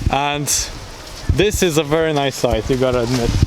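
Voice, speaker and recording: Male speaker at a fairly high pitch, fairly even intonation, moderate pace, over noticeable background noise. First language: not English. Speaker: travel vlogger. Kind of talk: travel vlog narration. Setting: outdoors.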